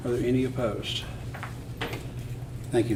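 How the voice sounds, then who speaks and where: Soft-spoken and at a medium pitch, a man talks with audible room echo around him. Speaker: mayor chairing council meeting. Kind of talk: meeting chairing. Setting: city council meeting.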